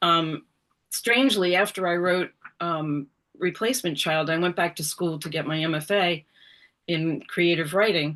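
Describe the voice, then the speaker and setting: A woman with an American accent speaks in an ordinary speaking voice, fairly low-pitched, with ordinary pitch variation, at a moderate pace against a quiet background. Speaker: author. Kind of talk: interview. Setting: video call.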